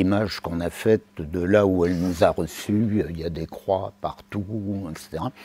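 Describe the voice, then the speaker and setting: Speech comes at a fairly slow speed. Clear background noise can be heard throughout. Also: man. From Limousin, Haute-Vienne. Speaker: professor emeritus, lecturer. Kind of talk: lecture. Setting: stage with audience. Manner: hesitant, many fillers.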